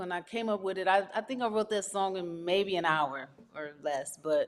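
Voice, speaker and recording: A woman with an American accent and a plain, everyday voice speaks at medium pitch and a moderate pace with ordinary pitch variation, on a very clean recording with a silent background. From US West Coast, Los Angeles (South Central, Watts). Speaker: R&B singer-songwriter. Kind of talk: interview.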